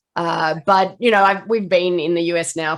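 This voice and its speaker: A woman speaks with an Australian accent. Her pitch is medium and her pace moderate. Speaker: nutrition expert. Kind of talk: interview.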